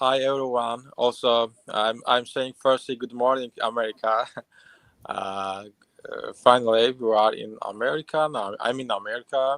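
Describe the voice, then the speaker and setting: In an Azerbaijani accent, a man speaks at a moderate pace with a medium pitch and fairly even intonation. The sound is dry and close, with no echo. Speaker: immigrant, former client. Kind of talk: live stream interview testimony. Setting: live stream. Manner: halting, many fillers.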